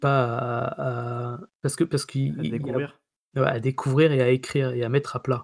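A man's monotone, flat voice sits at medium pitch and moves at a moderate pace, with a dry, close sound and no echo. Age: 40s. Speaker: video game journalist and author. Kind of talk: casual interview conversation.

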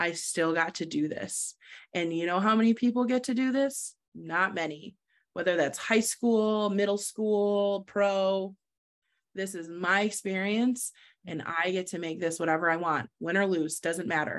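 With an American accent and an unremarkable speaking voice, a woman speaks at a fairly slow pace in a medium pitch with ordinary pitch variation against a quiet background. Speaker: lacrosse goalkeeper. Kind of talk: casual interview. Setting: video call.

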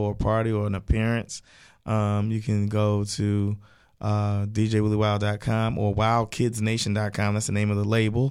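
With an American accent, a man talks at a moderate pace in an ordinary speaking voice of fairly low pitch, on a very clean recording with a silent background. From US, East Baltimore. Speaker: children's party DJ and kids' music artist. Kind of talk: radio interview.

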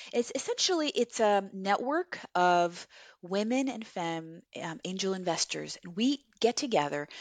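This is an ordinary speaking voice at a fairly slow pace. The intonation is lively. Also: woman, medium pitch for a woman. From Chile, raised in Los Angeles from age nine. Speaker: entrepreneur, co-founder of a beauty brand. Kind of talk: interview.

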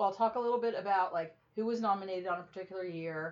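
Using an ordinary speaking voice, a woman talks at medium pitch with lively intonation. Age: 20s. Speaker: podcast co-host. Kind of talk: casual chat.

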